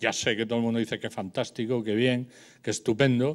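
The delivery is very fast with fairly even intonation. The background is quiet. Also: man. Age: 70s. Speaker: architect and teacher, debate speaker; panelist. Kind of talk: public debate talk. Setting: public debate hall with audience. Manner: loud; spontaneous, hesitant. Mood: critical, ironic. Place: hall. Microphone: handheld.

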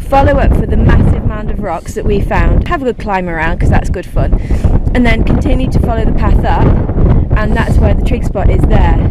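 Fairly quick speech, dry with no echo, under loud background noise. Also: woman. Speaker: hiker vlogger. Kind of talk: casual vlog chat. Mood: cheerful, delighted. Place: open country. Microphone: phone near.

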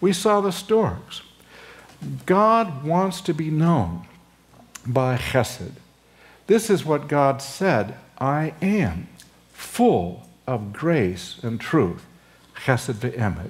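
Speaking at a very slow pace with long, frequent pauses, a man sounds somewhat breathy as his pitch swings very widely. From Southern California. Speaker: seminary professor. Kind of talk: sermon. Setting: chapel pulpit with audience. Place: hall. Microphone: lapel.

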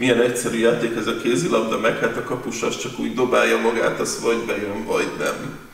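Audible room echo surrounds the voice. A man is talking at a fairly quick pace. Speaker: sports interviewer. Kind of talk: sports interview.

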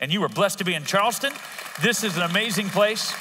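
A man with a high pitch talks at a very fast pace in a raised, projected voice. His pitch varies in an ordinary way, and there is noticeable background noise. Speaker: pastor. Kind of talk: sermon. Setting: church service, live audience. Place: church. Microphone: headset.

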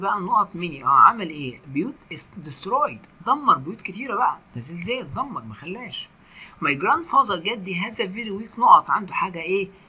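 Over noticeable background noise, a man speaks at a moderate pace in a raised, projected, high voice, with very wide pitch swings and big swings in loudness. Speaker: English teacher. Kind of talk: lecture.

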